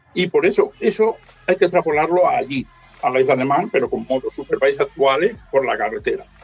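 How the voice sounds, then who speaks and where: Music in the background behind a man's fairly quick delivery. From Spain, inland Valencia (Ayora). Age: 50s. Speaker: motorcycle traveller and author. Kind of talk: casual chat.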